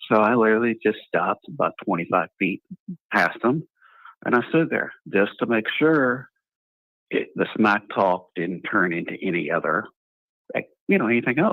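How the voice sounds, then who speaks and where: A man with an American accent, medium-pitched, at a moderate pace, with long and frequent pauses. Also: lively intonation. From grew up on US military bases. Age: 60s. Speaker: caller. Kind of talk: casual chat.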